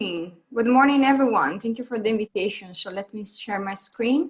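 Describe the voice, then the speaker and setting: With an Italian accent, a woman speaks at a moderate pace in a fairly high pitch with ordinary pitch variation. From Italy. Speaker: construction technology advisor. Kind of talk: conference presentation.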